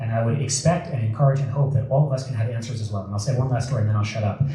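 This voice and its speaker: An animated man with an American accent and ordinary pitch variation, with audible room echo and noticeable background noise. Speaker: political commentator. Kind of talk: speech to an audience. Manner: fast.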